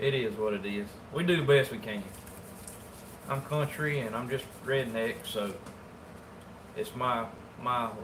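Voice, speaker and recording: A man with a Southern US accent talks at a fairly slow pace, with ordinary pitch variation and long, frequent pauses. Audible room echo and noticeable background noise fill the recording. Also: medium pitch for a man. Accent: Southern US rural. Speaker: taxidermist. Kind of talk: casual livestream chat while working. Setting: livestream. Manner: casual, colloquial.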